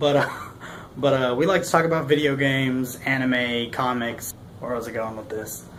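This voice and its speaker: With an American accent, a man talks at a moderate pace in a medium pitch with fairly even intonation over noticeable background noise. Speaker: army veteran. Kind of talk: casual talk to camera. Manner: stuttering, rambling.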